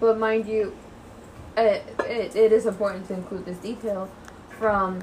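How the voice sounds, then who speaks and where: A woman with an American accent speaks at a fairly slow pace in a monotone, flat intonation, with audible room echo around her. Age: 20s. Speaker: podcast co-host. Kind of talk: casual chat.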